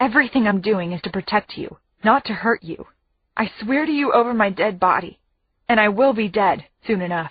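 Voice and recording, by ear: All is quiet in the background. A person reads aloud in a natural voice.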